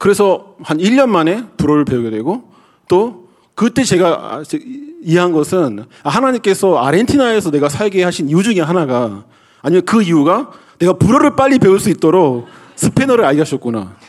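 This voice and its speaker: Against noticeable background noise, the speech moves at a moderate pace with very even loudness and very wide pitch swings. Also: man, high pitch for a man. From South Korea. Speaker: pastor. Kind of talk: sermon.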